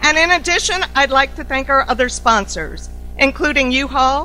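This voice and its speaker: A woman with a high pitch uses a raised, projected voice at a moderate pace against noticeable background noise. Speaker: CEO of an organization opening a summit. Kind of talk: formal welcome speech. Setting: conference stage with audience. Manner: loud.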